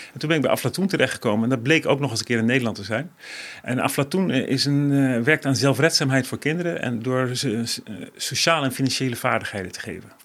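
Man at medium pitch, very fast pace, ordinary pitch variation. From various developing countries. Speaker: NGO director. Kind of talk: interview.

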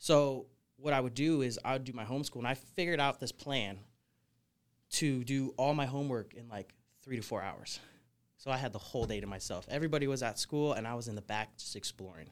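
An American accent marks this man's ordinary speaking voice. He talks at a fairly quick pace with a medium pitch and ordinary pitch variation. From Portland, Oregon. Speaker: snake wrangler. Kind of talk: casual interview.

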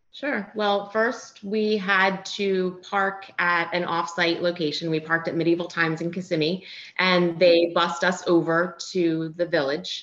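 A woman with an American accent, hardly any pauses, and noticeable background noise. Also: fairly low pitch for a woman, fairly even intonation. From US Northeast, Philadelphia. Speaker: recreational runner. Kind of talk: interview.

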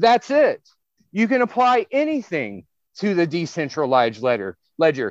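A man at a high pitch with an animated tone, very wide pitch swings, very even loudness and a moderate pace, in dry, close sound with no echo against a quiet background. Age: 30s. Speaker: software investment firm CEO. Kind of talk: interview.

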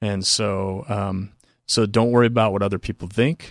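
In an unremarkable speaking voice, a man talks fairly quickly in a fairly low pitch with ordinary pitch variation, the sound dry and close with no echo. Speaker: exercise science professor. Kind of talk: casual interview. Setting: studio.

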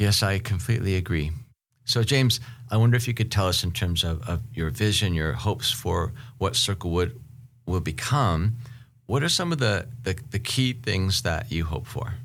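A man with an American accent speaks at a moderate pace and a fairly low pitch. His voice is somewhat breathy, with lively intonation. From Seattle, US Pacific Northwest. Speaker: podcast host and professor. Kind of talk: casual interview conversation.

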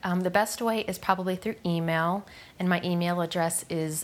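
A woman's fairly low-pitched voice in a very clean recording with a silent background. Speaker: end of life doula. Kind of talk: interview. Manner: halting, many fillers.

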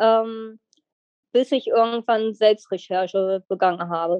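This woman has a plain, everyday voice. Her pitch sits fairly high and varies in an ordinary way. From Lower Saxony, Germany (near Wolfsburg). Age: 20s. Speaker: endometriosis patient. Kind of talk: interview testimony.

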